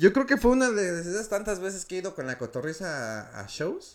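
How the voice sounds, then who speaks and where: With a Mexico City accent, a man talks at a moderate pace while his pitch swings very widely. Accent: Mexico City (chilango). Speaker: stand-up comedian. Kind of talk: casual chat.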